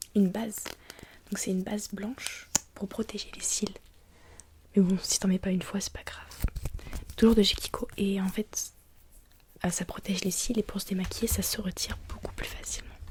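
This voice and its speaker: A woman's monotone, flat delivery at a medium pitch and moderate pace, with long, frequent pauses. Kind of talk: roleplay as a friend applying makeup on the listener.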